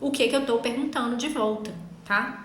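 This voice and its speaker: A woman speaks at a moderate pace in a raised, projected voice with high pitch, over noticeable background noise and audible room echo. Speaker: legal writing instructor. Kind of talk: online class. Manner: incisive.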